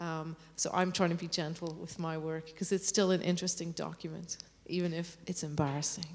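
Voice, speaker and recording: With an Irish accent, a woman speaks in a fairly low pitch and monotone, flat intonation. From Ireland. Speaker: composer. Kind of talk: interview on stage.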